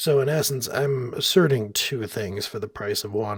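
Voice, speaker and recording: A man speaks softly at a medium pitch, his voice somewhat breathy. His pitch rises and falls in an ordinary way. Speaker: software developer narrating coding screencast. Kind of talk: tutorial. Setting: hotel room at night. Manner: soft-spoken, keeping voice down; pausing while thinking.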